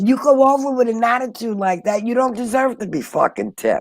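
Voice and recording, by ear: A woman's fairly high-pitched voice with a slightly mellow tone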